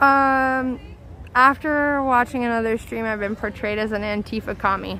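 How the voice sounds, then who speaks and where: Loud and bright with a sharp tone, a woman speaks at a fairly high pitch with fairly even intonation in a very clean recording with a silent background. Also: moderate pace. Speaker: protest livestreamer. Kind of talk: live street commentary. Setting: outdoors at night protest.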